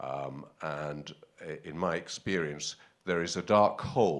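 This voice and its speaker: A man with a British accent speaks in a very deep, low voice with vocal fry and ordinary pitch variation. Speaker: audience member asking a question. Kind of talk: conference Q&A question. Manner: halting, many fillers.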